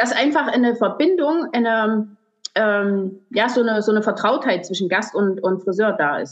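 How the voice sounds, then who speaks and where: With lively intonation, a woman speaks at a moderate speed. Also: fairly high pitch for a woman. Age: 40s. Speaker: hairdresser and salon owner. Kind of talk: podcast interview. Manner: halting, many fillers.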